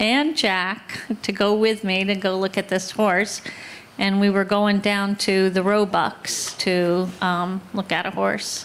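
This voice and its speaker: At a very slow pace, a woman speaks in a medium pitch. Her loudness stays very even throughout. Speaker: horse owner sharing memories at a memorial. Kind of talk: personal storytelling at a memorial. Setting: outdoor barn gathering with audience, livestreamed.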